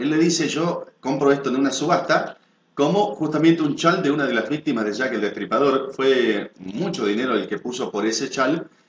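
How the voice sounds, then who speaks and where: A plain, everyday voice at a moderate pace, with ordinary pitch variation and hardly any pauses. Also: man, fairly high pitch for a man. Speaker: announcer, video program host. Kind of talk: news-style narration of a mystery to camera.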